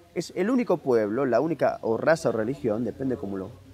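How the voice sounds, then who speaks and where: This is a man's voice with vocal fry. His pitch swings very widely. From Argentina, Buenos Aires. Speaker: author and historian. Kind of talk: interview. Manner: fast.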